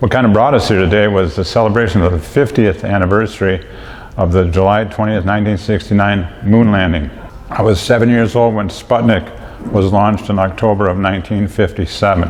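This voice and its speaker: Noticeable background noise sits behind a man with a fairly low pitch. He talks at a fairly quick pace with ordinary pitch variation. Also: very even loudness. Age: 60s. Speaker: senior center member. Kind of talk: casual reminiscence.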